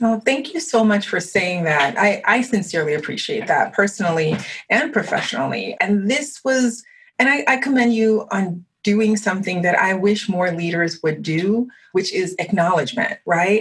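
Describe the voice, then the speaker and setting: Speaking with a French accent, a woman uses lively intonation in a somewhat breathy voice at very even loudness. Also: medium pitch for a woman, moderate pace. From Haitian American, grew up partly abroad. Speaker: podcast host. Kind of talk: interview conversation.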